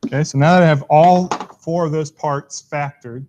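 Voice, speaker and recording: A man with fairly even intonation, recorded with a dry, close sound and no echo. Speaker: math teacher. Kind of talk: tutorial.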